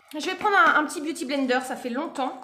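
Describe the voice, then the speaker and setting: A woman talks at a fairly quick pace. Audible room echo is present. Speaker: beauty video creator. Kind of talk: casual makeup tutorial chat. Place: home room. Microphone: phone near.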